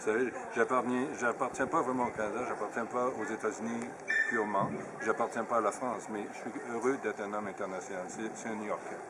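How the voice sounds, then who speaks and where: Amid noticeable background noise, a man with a medium pitch talks at a fairly quick pace broken by long, frequent pauses. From Quebec, Saguenay. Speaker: businessman. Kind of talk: radio interview.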